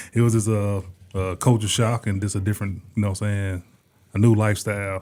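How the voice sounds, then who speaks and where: A man's fairly low, dark and mellow voice at a fairly quick pace, monotone and flat in intonation. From US South, Asheville, North Carolina. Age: 40s. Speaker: concert promoter. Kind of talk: interview. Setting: studio.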